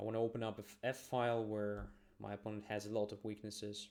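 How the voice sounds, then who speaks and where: A man talks very fast in a fairly low pitch. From Ukraine. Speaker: chess master streamer. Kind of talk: live chess commentary. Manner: thinking aloud, casual.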